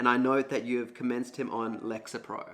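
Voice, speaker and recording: Music plays in the background as a man of medium pitch speaks at a moderate pace. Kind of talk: casual talk to camera.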